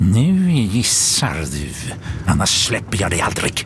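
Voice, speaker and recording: Over clear background noise, a man with a fairly low pitch performs a put-on character voice. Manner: hissing through teeth, menacing.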